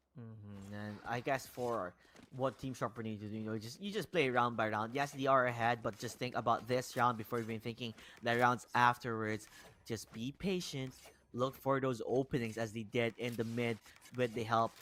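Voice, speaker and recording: With a Filipino accent, a man speaks at a moderate pace. His pitch is medium and his intonation fairly even. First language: Tagalog. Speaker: esports caster. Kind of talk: live commentary.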